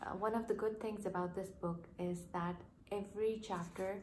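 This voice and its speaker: Over light background noise, a woman speaks at a fairly slow pace in a flat monotone. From Pakistan. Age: 20s. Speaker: doctor, book vlogger. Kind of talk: casual talk to camera. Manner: quiet, almost whispering. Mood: warm, enthusiastic. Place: home room. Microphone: phone near.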